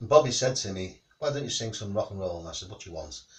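A man speaks at a very fast pace, his somewhat breathy voice rising and falling with lively intonation. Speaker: home singer vlogger. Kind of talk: casual vlog chat. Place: home room.

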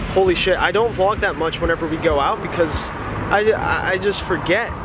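A man talks at a fairly quick pace, with noticeable background noise in the recording. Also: dry sound with no echo. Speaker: vlogger. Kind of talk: casual vlog chat. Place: street. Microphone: phone near.

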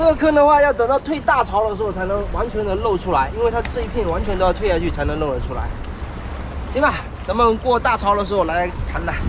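A man rattles along at a very fast pace while noticeable background noise carries on behind him. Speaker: seafood-catching vlogger. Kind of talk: casual vlog chat. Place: beach.

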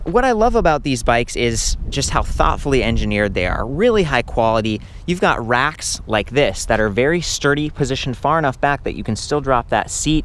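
A man talks at a fairly quick pace with hardly any pauses. The sound is dry with no echo, with light background noise. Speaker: bike reviewer. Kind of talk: product review commentary. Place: open country. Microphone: phone near.

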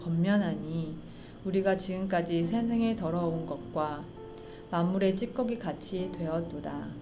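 Over clear background music, a woman with a fairly low pitch speaks at a very slow pace with ordinary pitch variation. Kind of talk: scripture reading. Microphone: studio mic.

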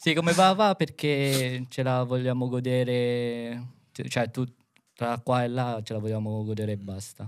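A man speaks at a fairly slow pace with ordinary pitch variation over a quiet background. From Philippines. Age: 20s. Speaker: dance choreographer; podcast guest. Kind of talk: casual chat. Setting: studio. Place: studio. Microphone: studio mic.

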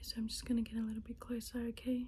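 A woman talks fairly quickly, with light background noise present. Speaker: ASMR creator. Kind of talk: ASMR soft-spoken instruction video. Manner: soft-spoken, calm, gentle. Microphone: phone near.

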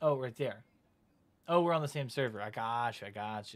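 Someone talks at a moderate pace with a slight Southern US accent. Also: man. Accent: flat, little Southern. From US South. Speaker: gaming streamer. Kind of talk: live gameplay stream chat. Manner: casual, conversational. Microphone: headset.

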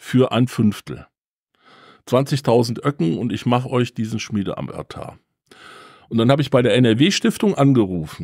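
A man's medium-pitched voice with vocal fry at a fairly slow pace, dry and close with no echo on a very clean recording with a silent background. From Germany, Siegen area. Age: 60s. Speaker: museum volunteer, former pharma employee. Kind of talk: interview, storytelling. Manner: animated.

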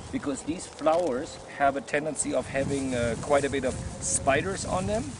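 Over noticeable background noise, the speaker talks at a moderate pace with lively intonation, and the sound is dry with no echo. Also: man. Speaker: herbalist guide. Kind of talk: casual outdoor teaching talk. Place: forest. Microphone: camera far.

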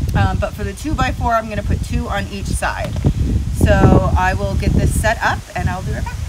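A woman speaks over loud background noise. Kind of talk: casual vlog tutorial. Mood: humorous, self-deprecating. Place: street. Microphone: phone near.

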